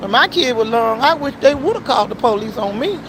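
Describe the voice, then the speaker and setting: A woman's fairly quick, lively speech is heard over noticeable background noise. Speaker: auto shop worker and livestreamer. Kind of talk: casual livestream talk, preachy. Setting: at work, outdoors. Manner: fast; animated.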